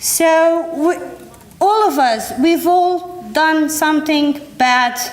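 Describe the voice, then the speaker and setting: A woman with a non-native accent and lively intonation, against noticeable background noise. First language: not English. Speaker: environmental educator. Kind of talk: workshop presentation. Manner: halting.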